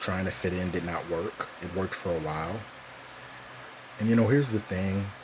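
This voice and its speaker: Through noticeable background noise, a man with a very deep, low pitch speaks at a fairly quick pace. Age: 20s. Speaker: vlogger. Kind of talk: personal monologue. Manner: monotone. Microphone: cheap recording equipment.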